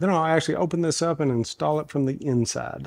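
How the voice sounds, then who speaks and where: Speaking with an American accent, a man talks at a fairly quick pace with lively intonation. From US South, Kentucky. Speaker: woodworking YouTuber. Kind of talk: tutorial; casual chat. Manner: casual, folksy.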